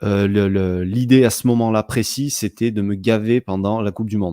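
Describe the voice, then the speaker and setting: A man with a dark, mellow tone speaks at a fairly low pitch and fairly quick pace. His intonation is fairly even on a very clean recording with a silent background. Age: 30s. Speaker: sports betting blogger. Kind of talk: interview. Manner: hesitant, many fillers and repetitions.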